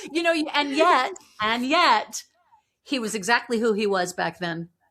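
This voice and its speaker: The woman's pitch is high. It moves in very wide swings. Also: fairly slow pace. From Vancouver, Canada. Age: 50s. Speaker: author. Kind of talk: interview.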